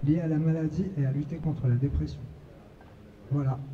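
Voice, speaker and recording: With audible room echo around him, a man speaks at a fairly quick pace and fairly high pitch, his dark, mellow tone somewhat breathy and his intonation fairly even. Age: 30s. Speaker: patient advocate sharing recovery testimony. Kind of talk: testimony at a conference.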